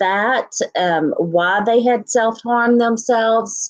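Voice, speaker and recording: A woman speaks with a Texan accent. Her intonation is lively. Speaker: YouTuber reacting to true crime coverage. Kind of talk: livestream sign-off chat. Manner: casual with many fillers.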